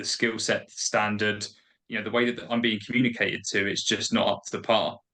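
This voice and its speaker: A medium-pitched man with a bright, sharp tone and a Kentish accent. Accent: British, Kentish. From England, Kent. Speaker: appointment setting trainer. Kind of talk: podcast interview.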